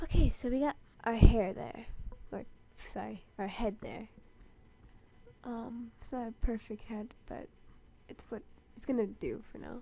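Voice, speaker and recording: A woman speaks at a fairly slow pace with long, frequent pauses, her fairly high voice dark and mellow with vocal fry, ordinary pitch variation and big swings in loudness. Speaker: amateur digital artist. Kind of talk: tutorial. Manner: halting, many fillers.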